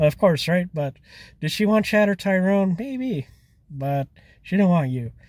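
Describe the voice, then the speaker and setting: Very wide pitch swings from a man at a moderate pace, on a very clean recording with a silent background. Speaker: dating advice commentator. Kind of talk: casual talk to camera.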